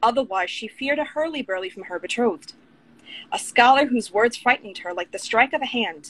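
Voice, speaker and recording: A woman talks at a fairly quick pace with an American accent. Her pitch is high and her intonation lively. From Long Island, New York. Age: 30s. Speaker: author and writing coach. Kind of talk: casual interview. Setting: Instagram live video.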